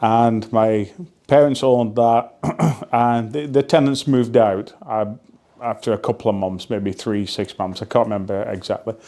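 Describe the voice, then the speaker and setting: Speaking with a Lancashire accent, a man has a dark, mellow tone. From northern England, Burnley (Lancashire). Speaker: real estate investor. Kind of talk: casual vlog storytelling. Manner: relaxed with filler words.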